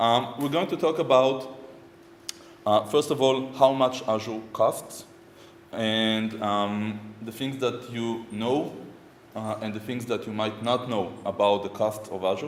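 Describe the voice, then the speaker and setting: Noticeable background noise and audible room echo surround a man with an Israeli accent. He talks at a fairly slow pace with medium pitch and ordinary pitch variation. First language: Hebrew. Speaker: software architect and conference speaker. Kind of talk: conference talk. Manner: hesitant, many fillers.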